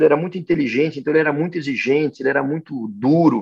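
Fairly high in pitch, a man's voice comes through. He talks at a fairly quick pace. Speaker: agribusiness executive. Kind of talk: interview. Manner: halting, many fillers.

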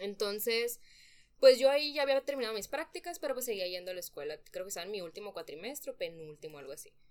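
A woman's fairly high voice at a very fast pace, with very wide pitch swings and big swings in loudness. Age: 20s. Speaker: young mother, nutrition graduate. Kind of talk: personal testimony in a podcast interview.

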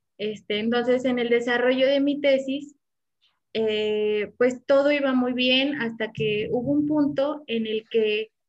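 Over background music, a woman talks very slowly in a high voice with fairly even intonation. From Morelia, Mexico. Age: 20s. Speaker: doctoral student. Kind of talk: casual interview chat. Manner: hesitant, many fillers.

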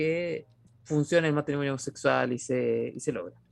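A man is speaking. He has a Chilean accent. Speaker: podcast host. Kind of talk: casual chat.

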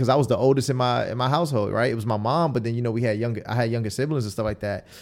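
A man with an American accent talks at a medium pitch with ordinary pitch variation in a normal speaking voice. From Queens, New York. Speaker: battle rapper and spoken word poet. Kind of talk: casual interview.

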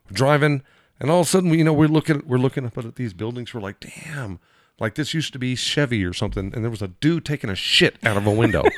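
Very fast and with lively intonation, a man with an American accent talks at medium pitch, his loudness swinging widely. The recording is very clean and dry, close, with no echo and a silent background. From Southern California, Lakeside. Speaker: podcast guest. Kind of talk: casual chat. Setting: studio.

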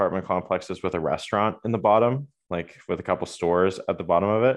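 With a normal speaking voice, a man talks at a fairly quick pace in a fairly low pitch with ordinary pitch variation. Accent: Canadian. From Ontario, Waterloo. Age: 20s. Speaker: college soccer goalkeeper. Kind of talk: casual chat.

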